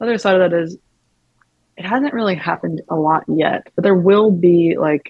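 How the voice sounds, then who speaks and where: A woman with an American accent speaks in a normal speaking voice. She keeps a moderate pace with ordinary pitch variation. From US South, Mississippi (Tupelo). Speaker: music venue talent buyer. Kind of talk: interview conversation.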